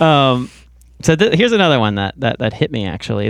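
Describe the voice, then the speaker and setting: Vocal fry marks this man's speech. No background sound intrudes, and the recording is very clean. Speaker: podcast host and musician. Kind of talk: casual interview chat. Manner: hesitant, many repetitions and fillers.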